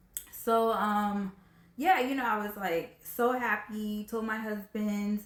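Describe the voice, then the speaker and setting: A woman with a fairly high voice and ordinary pitch movement talks through noticeable background noise. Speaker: video blogger. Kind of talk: personal story vlog. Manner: fast; casual, filler-heavy.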